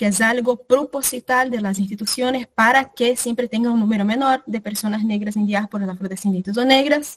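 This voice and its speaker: Somewhat breathy and fairly even in intonation, the voice moves at a fairly quick pace with hardly any pauses, in a dry, close sound with no echo. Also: woman, fairly high pitch for a woman. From Brazil. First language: Portuguese (speaking Spanish). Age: 20s. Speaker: workshop facilitator. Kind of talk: online workshop talk.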